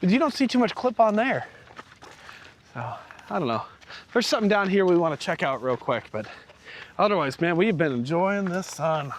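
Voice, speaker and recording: A loud man with a high pitch speaks at a fairly quick pace, with very wide pitch swings and long, frequent pauses. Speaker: RV vlogger. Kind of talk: casual chat. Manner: animated.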